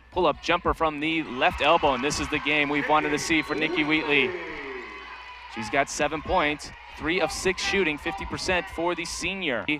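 At a moderate pace, a man with a fairly high pitch speaks with fairly even intonation over noticeable background noise. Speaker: basketball play-by-play announcer. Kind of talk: live sports commentary, play-by-play. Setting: arena broadcast in Las Vegas.

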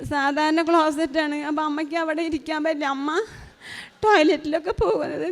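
A woman's high voice keeps fairly even intonation amid noticeable background noise. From Kerala, Chalakudy. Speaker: pilgrim giving testimony. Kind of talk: testimony. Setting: church altar.

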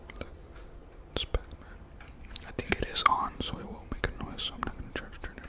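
A man whispering at a moderate pace in a relaxed tone, with big swings in loudness. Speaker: ASMR creator. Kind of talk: casual talk to camera. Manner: relaxed, chatty, whispered. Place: home room. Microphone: studio mic.

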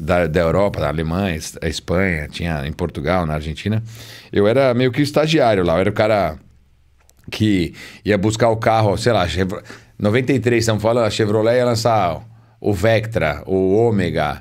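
Against a quiet background, the speaker moves at a moderate pace with lively intonation and long, frequent pauses. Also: man, fairly low pitch for a man. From Brazil. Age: 40s. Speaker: car magazine journalist. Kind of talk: casual chat. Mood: relaxed, storytelling. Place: studio. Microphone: studio mic.

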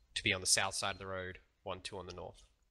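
A man's bright, sharp tone comes through over light background noise. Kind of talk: briefing to teammates.

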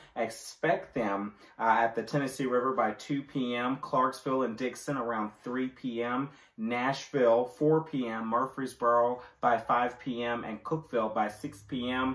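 A man's voice carries audible room echo against a quiet background. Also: fairly even intonation, fairly slow pace. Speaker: presenter. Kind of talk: weather forecast. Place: home room. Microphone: camera far.

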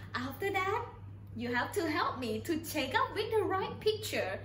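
The voice moves at a fairly slow pace, with audible room echo and light background noise. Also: woman. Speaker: English teacher. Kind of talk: online class for children. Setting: video call. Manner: animated. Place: classroom.

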